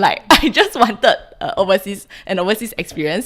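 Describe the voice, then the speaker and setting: Over a silent background in a very clean recording, a woman with a Singaporean accent speaks at medium pitch and a moderate pace. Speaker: podcast guest, Singaporean migrant. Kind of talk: casual chat.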